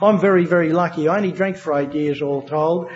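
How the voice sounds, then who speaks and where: Over noticeable background noise, a man with a strong Australian accent talks at a very fast pace with fairly even intonation. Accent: broad Australian. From Australia, New South Wales (Wagga Wagga). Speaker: AA speaker sharing recovery story. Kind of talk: testimony. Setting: stage with audience. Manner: halting, many fillers.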